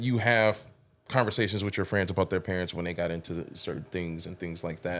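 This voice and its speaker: With music in the background, a man's speech moves at a moderate pace. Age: adult, parent. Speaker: podcast host. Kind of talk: casual podcast interview.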